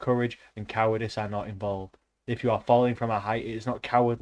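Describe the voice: Plain reading aloud in fairly even intonation over a quiet background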